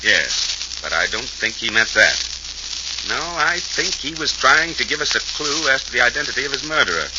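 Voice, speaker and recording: Noticeable background noise under a man's moderately paced speech. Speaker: police inspector (character in an old-time radio mystery). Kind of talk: old-time radio drama dialogue.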